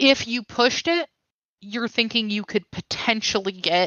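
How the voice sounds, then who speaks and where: The woman has an ordinary speaking voice. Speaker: tabletop game master. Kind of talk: tabletop role-play game session. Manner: casual, playful.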